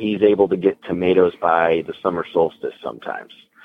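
A man's very deep, low voice in an American accent, at a fairly quick pace, with fairly even intonation. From northern Illinois, US Midwest. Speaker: farm-to-table business owner. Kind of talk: interview.

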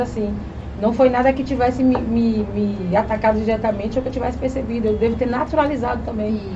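Fairly high in pitch, a woman talks at a fairly quick pace with audible room echo and noticeable background noise. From Bahia, Brazil (rural district near Itabuna). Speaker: schoolteacher and activist. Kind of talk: casual interview.

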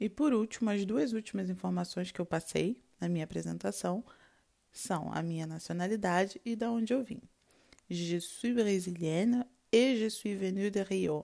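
This is an ordinary speaking voice from a woman at medium pitch. She talks at a moderate pace with ordinary pitch variation. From Brazil, Rio de Janeiro. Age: 20s. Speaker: language teacher. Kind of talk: tutorial.

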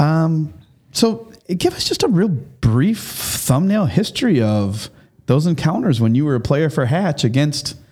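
A man with a fairly high, somewhat breathy voice and a dark, mellow tone speaks at a moderate pace with lively intonation. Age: 50s. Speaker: school podcast host. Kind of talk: casual interview.

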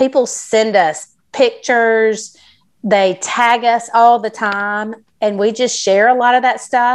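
Speaking very slowly, a woman has a fairly high pitch. She talks with a Southern US accent. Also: fairly even intonation. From South Carolina. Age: 40s. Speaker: entrepreneur. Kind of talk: interview.

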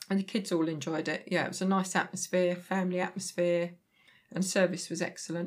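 A woman talks at a fairly quick pace. Her intonation stays monotone and flat. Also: medium pitch for a woman. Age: 60s. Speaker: host's mother, theme park visitor. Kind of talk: casual chat.

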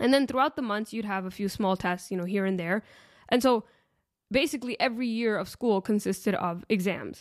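Over a very clean recording with a silent background, a woman with a normal speaking voice talks at a fairly quick pace, her fairly high pitch showing ordinary pitch variation. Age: late 20s. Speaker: podcast host. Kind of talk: solo podcast talk on faith and self-development.

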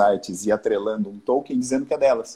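At a fairly quick pace, a man talks in a medium pitch with a dark, mellow tone. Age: 40s. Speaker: business owner, art supplies importer. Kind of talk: casual live-stream interview. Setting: online live stream.

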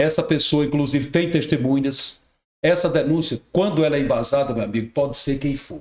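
A man's fairly high-pitched voice, fairly quick, with fairly even intonation. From Rio Grande do Norte, Brazil. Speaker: radio and TV journalist. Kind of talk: casual chat.

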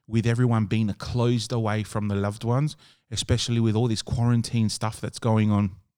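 Medium-pitched male voice in an Australian accent, dark and mellow in tone, with fairly even intonation on a very clean recording with a silent background. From Adelaide, Australia. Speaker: podcast host, wedding DJ and MC. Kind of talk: casual interview chat.

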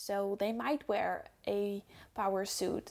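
A woman's fairly high voice with a Dutch accent, in a very clean recording with a silent background. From Netherlands. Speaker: podcast host. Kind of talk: solo podcast talk.

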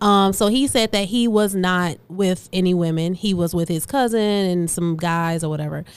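At a moderate pace, a woman speaks at medium pitch with ordinary pitch variation and hardly any pauses. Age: 30s. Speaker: actor and entrepreneur. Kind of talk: casual chat. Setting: studio. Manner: loud.

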